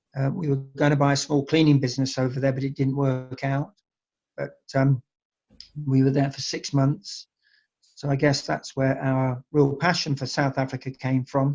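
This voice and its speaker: A man's somewhat breathy, fairly high voice with an English accent, at a moderate pace with monotone, flat intonation. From England. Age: 60s. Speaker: winery owner. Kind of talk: interview. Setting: online call. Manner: hesitant, many fillers.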